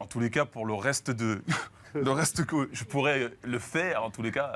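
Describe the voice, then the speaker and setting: A man's medium-pitched voice at a fairly slow pace, with ordinary pitch variation and noticeable background noise. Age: 30s. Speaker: professional basketball player. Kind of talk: TV talk show interview. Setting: TV studio.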